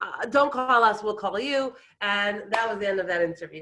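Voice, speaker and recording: An animated woman with an American accent and ordinary pitch variation, over noticeable background noise. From Brooklyn, New York (Israeli family). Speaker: storyteller sharing life story. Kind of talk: personal storytelling talk.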